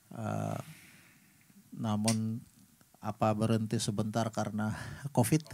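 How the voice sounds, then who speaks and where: Over light background noise, a man speaks at a very slow pace in a fairly low voice with a dark, mellow tone, monotone, flat intonation, and long, frequent pauses. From Papua, Indonesia; Indonesia. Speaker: musician; guest. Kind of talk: casual chat. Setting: studio. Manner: soft-spoken. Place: studio. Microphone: studio mic.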